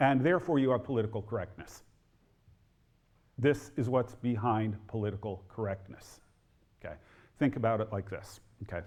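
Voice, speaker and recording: In a very clean recording with a silent background, a man with an American accent sounds somewhat breathy and leaves long, frequent pauses. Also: medium pitch for a man, ordinary pitch variation, moderate pace. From New Jersey, near Newark. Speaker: historian and author. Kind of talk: lecture.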